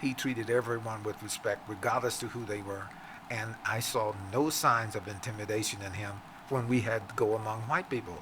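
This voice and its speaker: Noticeable background noise sits behind a man with an American accent. He talks at a fairly quick pace with fairly even intonation. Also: medium pitch for a man. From Virginia, US South. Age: 80s+. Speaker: entrepreneur and author. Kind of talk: interview conversation. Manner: halting with many fillers.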